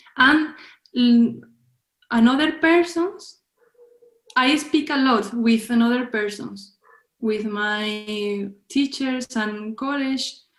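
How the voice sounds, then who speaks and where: A woman's high voice in a Spanish accent, very slow, with long, frequent pauses. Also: ordinary pitch variation. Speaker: film director. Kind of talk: interview. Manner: halting.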